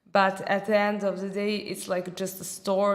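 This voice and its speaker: A woman at a medium pitch talks in monotone, flat intonation, with audible room echo. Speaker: marketing manager. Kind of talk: casual discussion. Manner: halting.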